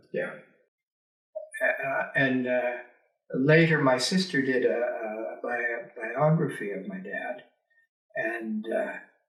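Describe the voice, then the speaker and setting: Audible room echo surrounds a very slow delivery full of long, frequent pauses. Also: man. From rural Alberta, Canada. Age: 70s. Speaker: retired teacher and politician. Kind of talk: oral history interview. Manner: hesitant, many filler words.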